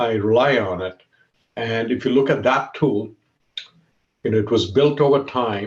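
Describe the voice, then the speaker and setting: The speaker is a man with a somewhat breathy voice. He keeps to a moderate pace. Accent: Keralan. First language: Malayalam. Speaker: tech executive. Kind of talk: talk. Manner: animated.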